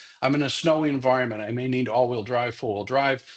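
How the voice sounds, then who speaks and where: A man talks with a Massachusetts accent. His pace is fairly quick and the background is quiet. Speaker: security expert, former police officer. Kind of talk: professional development lecture. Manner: many fillers and repetitions.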